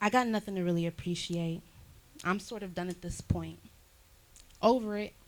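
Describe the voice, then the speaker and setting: Her voice sits at medium pitch, and this woman keeps a moderate pace with fairly even intonation. There are long, frequent pauses and big swings in loudness. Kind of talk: spoken word poetry performance in a church service. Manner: dramatic, despairing, reflective.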